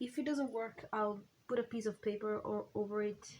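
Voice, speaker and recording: A woman with a non-native accent speaks fairly slowly in a somewhat breathy, fairly high voice, with fairly even intonation. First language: not English. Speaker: crafting YouTuber. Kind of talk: casual crafting chat. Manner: halting, many fillers.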